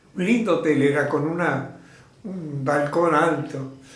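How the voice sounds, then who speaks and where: A man with a fairly high pitch and ordinary pitch variation, at a very slow pace, amid noticeable background noise and audible room echo. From Argentina, Mercedes (Buenos Aires province). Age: 80s+. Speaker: theatre teacher and trainer of artists. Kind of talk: interview. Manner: halting.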